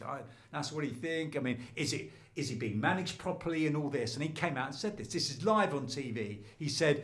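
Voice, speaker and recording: There is audible room echo as a man with a southern English accent talks at a fairly quick pace, his fairly high pitch carried by lively intonation. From London. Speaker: former sports reporter, lecturer. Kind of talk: podcast interview. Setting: studio. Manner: animated.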